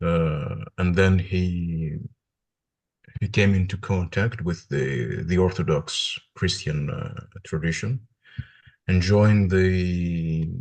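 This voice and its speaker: With a Greek accent, a man speaks at a very slow pace. His pitch is very deep and low, with ordinary variation. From Greece (Athens). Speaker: religious studies PhD student. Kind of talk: interview conversation. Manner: halting, many hesitations.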